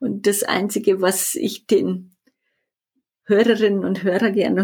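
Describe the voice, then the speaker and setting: In a very clean recording with a silent background, a woman with a Bavarian accent speaks fairly slowly at a medium pitch, with fairly even intonation and vocal fry. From Bavaria, Erding northeast of Munich. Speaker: business consultant, vision coach. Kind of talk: interview.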